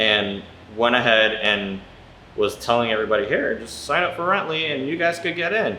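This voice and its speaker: Noticeable background noise and audible room echo surround speech delivered at a fairly quick pace. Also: man. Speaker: real estate investor vlogger. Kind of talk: casual vlog storytelling. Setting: inside a rental house. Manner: casual, halting with repetitions.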